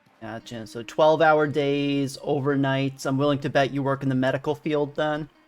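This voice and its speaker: The speaker has a Northeastern US accent and a relaxed tone. The pace is moderate, with hardly any pauses. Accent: American Northeast accent, self-described. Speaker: video game streamer. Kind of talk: live gameplay commentary and chat with viewers. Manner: casual, relaxed.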